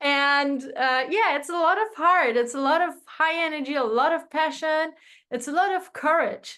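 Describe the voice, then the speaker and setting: In a raised, projected voice, a woman speaks at a moderate pace, her high pitch bright and sharp in tone with ordinary variation. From Iran. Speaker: sales coach. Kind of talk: interview. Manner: animated.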